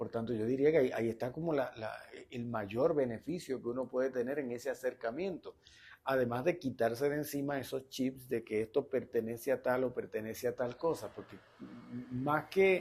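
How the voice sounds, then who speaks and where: A man with an unremarkable speaking voice talks at a medium pitch and moderate pace, with ordinary pitch variation. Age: 60s. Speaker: interview host. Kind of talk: interview conversation. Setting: bookstore cafe studio, on camera.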